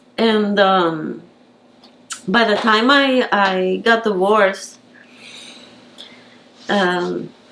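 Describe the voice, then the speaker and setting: With noticeable background noise behind her, a woman of medium pitch speaks at a very slow pace with long, frequent pauses, fairly even intonation and very even loudness. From Puerto Rico. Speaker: painter. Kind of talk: interview answer.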